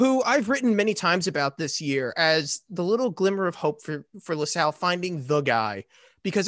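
A man's high voice with an American accent, very wide pitch swings and a moderate pace, dry and close with no echo over a quiet background. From Philadelphia. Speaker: sports podcast panelist. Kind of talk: casual chat.

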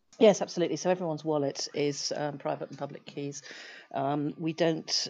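With a British accent, a woman talks at a fairly quick pace in a very deep, low voice. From UK. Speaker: tech startup founder and CEO. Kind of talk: interview. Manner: halting, many fillers.

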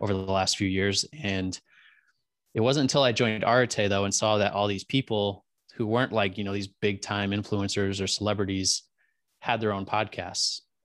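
Against a quiet background, a man with a plain, everyday voice speaks at a moderate pace in a fairly low pitch, with fairly even intonation and an American accent. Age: 20s. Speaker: podcaster. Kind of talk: casual interview chat.

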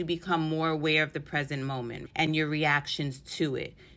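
A woman with a New York accent speaks in a fairly low pitch with a bright, sharp tone. The recording is very clean, with a silent background. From New York City. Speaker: podcast host and empowerment mentor. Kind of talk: casual solo podcast talk. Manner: casual, sassy.

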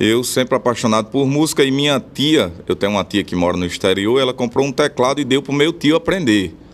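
A normal speaking voice from a man, at a fairly quick pace with lively intonation. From Rio Grande do Norte interior, Brazil (Bom Jesus). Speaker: forró accordionist and vaquejada cowboy. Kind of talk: radio interview.

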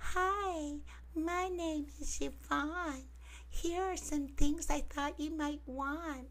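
A put-on character voice at a very slow pace, with clear background noise. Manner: incongruously dainty.

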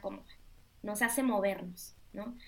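Fairly slow speech from a woman, her pitch moving with ordinary variation. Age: 30s. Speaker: life coach. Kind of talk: interview.

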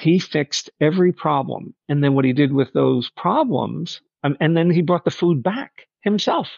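In a New York accent, a man with a fairly high pitch talks at a moderate pace with hardly any pauses and ordinary pitch variation. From Long Island, New York. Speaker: restaurant server. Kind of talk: interview.

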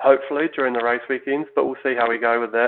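In a New Zealand accent, a man talks at a fairly quick pace and medium pitch with monotone, flat intonation. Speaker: downhill mountain bike team manager. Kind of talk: casual chat. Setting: remote recording.

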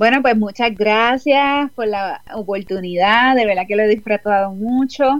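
In a normal speaking voice, the speaker talks at a fairly slow pace with ordinary pitch variation. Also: woman, fairly high pitch for a woman. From Puerto Rico. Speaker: author and life coach. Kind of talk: online interview.

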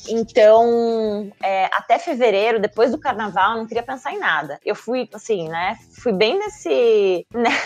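The speaker talks at a fairly slow pace with hardly any pauses. Their intonation is lively, and music plays in the background. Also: woman, fairly high pitch for a woman. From southern Brazil, Joinville (Santa Catarina). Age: 30s. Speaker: marketing professional. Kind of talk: casual interview.

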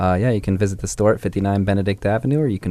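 Using a normal speaking voice, a man keeps to a fairly low pitch with ordinary pitch variation. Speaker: radio co-host. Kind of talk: radio dj patter, joking. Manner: laid-back, jokey, laughs often.

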